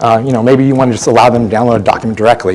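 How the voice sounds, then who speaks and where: A man at medium pitch amid noticeable background noise. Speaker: software conference speaker. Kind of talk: lightning talk presentation. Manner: fast.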